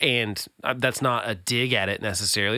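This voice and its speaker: A bright, sharp tone marks the man speaking. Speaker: podcast host. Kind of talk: casual chat.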